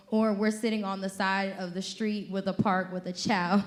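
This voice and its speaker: The speaker talks at a fairly quick pace with fairly even intonation. Echo from the room can be heard. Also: woman. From Georgia. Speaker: social worker. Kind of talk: conference presentation.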